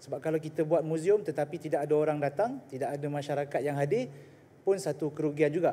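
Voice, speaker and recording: A man with a dark, mellow tone and a fairly high pitch. He talks at a very fast pace. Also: fairly even intonation. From Malaysia, Selangor (Shah Alam); Selangor, Malaysia. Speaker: state assemblyman. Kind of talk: parliamentary debate. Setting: legislative assembly chamber. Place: hall. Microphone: podium.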